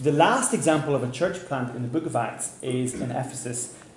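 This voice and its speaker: In a room with audible echo and noticeable background noise, a man speaks fairly slowly at a medium pitch with fairly even intonation. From Northern Ireland, Belfast. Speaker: pastor and church planter. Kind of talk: seminar talk with interpreter. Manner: pausing for consecutive interpretation.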